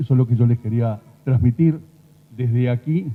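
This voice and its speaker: A man talks at a moderate pace in a somewhat breathy voice with ordinary pitch variation. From Uruguay. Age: 60s. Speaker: rural doctor. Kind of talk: conference talk.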